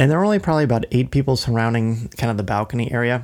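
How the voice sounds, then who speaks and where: A man's medium-pitched voice at a very fast pace, on a very clean recording with a silent background. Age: 40s. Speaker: podcast co-host. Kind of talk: casual chat.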